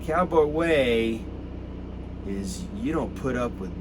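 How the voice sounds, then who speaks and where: Over noticeable background noise and audible room echo, a man with an American accent speaks at a very slow pace. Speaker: activist. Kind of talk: impassioned address to protesters. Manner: animated.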